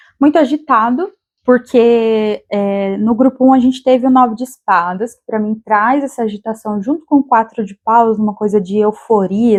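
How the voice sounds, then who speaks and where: A woman's normal speaking voice with ordinary pitch variation. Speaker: tarot reader. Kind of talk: tarot reading monologue.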